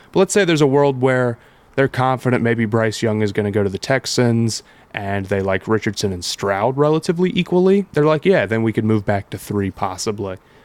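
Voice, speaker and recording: A man with an American accent has an ordinary speaking voice at medium pitch, talking at a fairly quick pace with lively intonation in a dry, close sound with no echo. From Columbus, Ohio. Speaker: sports podcast co-host. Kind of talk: casual chat.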